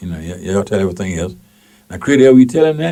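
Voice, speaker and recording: A man with a Mississippi accent, very fast pace and very wide pitch swings. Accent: Southern US (Mississippi). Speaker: radio talk show host and station manager. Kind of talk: call-in talk radio. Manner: animated.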